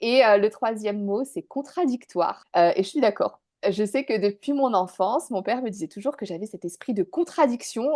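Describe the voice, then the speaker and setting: A woman's fairly high pitch with a dark, mellow tone, lively intonation, and a moderate pace over a quiet background. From northern France, Dunkirk. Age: 30s. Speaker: business owner, former expat. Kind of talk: interview testimony. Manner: hesitant, many fillers.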